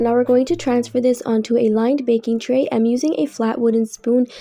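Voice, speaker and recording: Music plays in the background. Over it, a woman speaks in a fairly high voice. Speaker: cooking channel host. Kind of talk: recipe tutorial voiceover.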